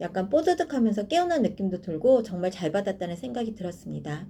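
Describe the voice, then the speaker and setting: A woman's somewhat breathy, dark, mellow tone at a fairly quick pace. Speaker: YouTuber sharing personal dental experience. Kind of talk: personal review vlog. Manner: some hesitations and filler sounds.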